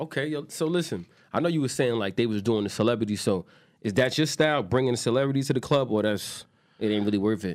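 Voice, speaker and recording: A man with a New York accent, medium pitch and lively intonation, very fast pace, very clean recording and silent background. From New York, Queens. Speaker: podcast host. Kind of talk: casual chat.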